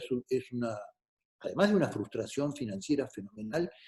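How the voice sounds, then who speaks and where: A man speaks with an Argentine accent in a dark, mellow tone. His pace is moderate. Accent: Argentine Spanish (Rioplatense). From Argentina. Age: 60s. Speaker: politician. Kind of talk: talk to students.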